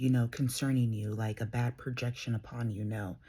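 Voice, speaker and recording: A woman speaks softly in a very deep, low, somewhat breathy voice. Her tone is dark and mellow, and the recording is very clean with a silent background. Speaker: tarot reader. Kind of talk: tarot reading. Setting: at home, early morning. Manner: soft-spoken.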